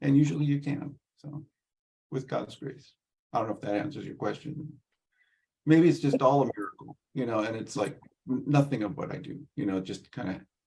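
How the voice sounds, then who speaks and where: This man has a fairly high pitch with ordinary variation and a dark, mellow tone. He is somewhat breathy and keeps a moderate pace. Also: long, frequent pauses. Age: 60s. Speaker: Orthodox priest and liturgical translator. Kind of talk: Q&A answer in a virtual event. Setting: video call. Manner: halting, with many fillers.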